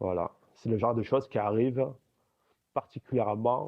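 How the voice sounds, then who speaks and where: A man talks at a moderate pace in a medium pitch, with vocal fry. His intonation is fairly even. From Algeria. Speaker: apostate giving a testimony. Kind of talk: casual chat.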